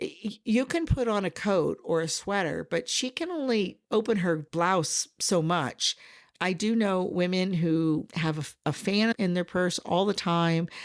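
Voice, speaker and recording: A woman with an American accent and a normal speaking voice at medium pitch, ordinary pitch variation, a fairly slow pace and hardly any pauses, in a very clean recording with a silent background. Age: 60s. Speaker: podcast host and life coach. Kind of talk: podcast monologue. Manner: conversational.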